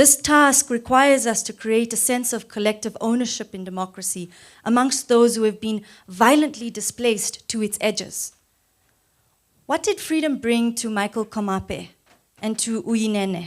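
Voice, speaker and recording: With an ordinary speaking voice, a woman talks at a moderate pace and fairly high pitch, showing ordinary pitch variation. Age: 20s. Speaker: youth speaker at a political campaign launch. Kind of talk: public speech. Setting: church hall event with audience. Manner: formal.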